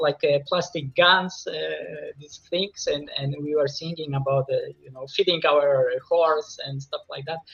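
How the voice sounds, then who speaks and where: A high-pitched man with a Polish accent talks at a moderate pace with ordinary pitch variation, noticeable background noise behind him. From Poland. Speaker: composer. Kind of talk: interview. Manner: halting.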